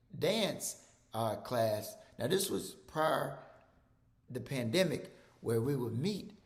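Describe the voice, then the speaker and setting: A man talks very slowly with a Mississippi accent. Room echo is audible. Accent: Southern US (Mississippi). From Mississippi, US South. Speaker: physician. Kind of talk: presentation. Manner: repetitive, halting with fillers.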